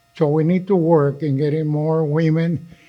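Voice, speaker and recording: A man at a fairly high pitch, speaking at a fairly slow pace in a monotone, flat intonation, with music in the background. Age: 80s+. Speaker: community organization leader. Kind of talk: meeting speech.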